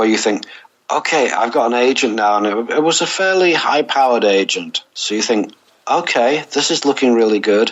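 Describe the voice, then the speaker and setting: In an ordinary speaking voice, a man talks at a moderate pace and medium pitch with lively intonation. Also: very even loudness. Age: 60s. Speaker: novelist and music journalist. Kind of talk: interview.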